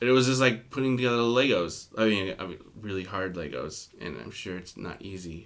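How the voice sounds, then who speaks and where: A man talks in a normal speaking voice at a fairly quick pace, with hardly any pauses. His pitch is fairly low, and his lively intonation comes with big swings in loudness. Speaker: podcast host. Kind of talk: casual chat.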